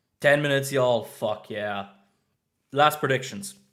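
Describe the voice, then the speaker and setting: The speaker is a man with a Swiss German accent. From German-speaking Switzerland. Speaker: streamer. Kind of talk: live stream reaction chat. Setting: live stream from new flat. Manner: animated.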